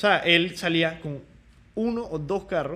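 This man's voice sits high in pitch, and its rise and fall is ordinary. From Panama. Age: 20s. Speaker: podcast host. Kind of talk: interview.

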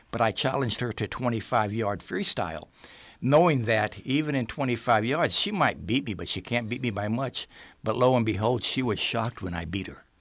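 A man talks at a fairly quick pace in medium pitch with ordinary pitch variation. It is an ordinary speaking voice. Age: 60s. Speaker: retired school principal and football coach. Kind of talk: casual interview. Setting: radio studio.

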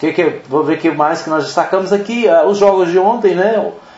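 A man with a high pitch speaks at a moderate pace over noticeable background noise. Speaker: radio sports host. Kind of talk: casual sports news roundup. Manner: halting, many fillers.

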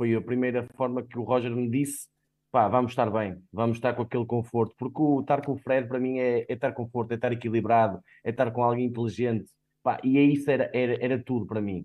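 The man's intonation stays flat and monotone. He talks very fast. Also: medium pitch for a man. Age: 30s. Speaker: football fan pundit. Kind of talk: casual sports discussion.

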